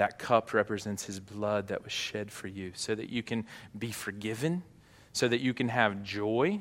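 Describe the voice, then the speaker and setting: On a very clean recording with a silent background, a man with an ordinary speaking voice talks at a moderate pace with a fairly low pitch and ordinary pitch variation. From US South, Arkansas. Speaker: pastor. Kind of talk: sermon. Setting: church.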